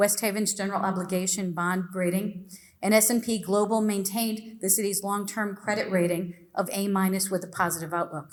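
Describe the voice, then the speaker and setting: A woman of medium pitch speaks at a moderate pace with fairly even intonation, and the room echo is audible. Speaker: public commenter at city council meeting. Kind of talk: public comment, prepared statement. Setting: city council meeting. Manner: formal.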